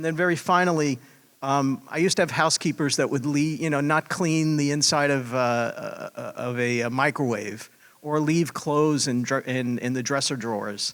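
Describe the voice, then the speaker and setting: Here is a man with a plain, everyday voice. His pitch is fairly high with ordinary variation, and his pace is moderate. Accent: American. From Pennsylvania, US. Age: 60s. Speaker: hotel trainer. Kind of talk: panel discussion.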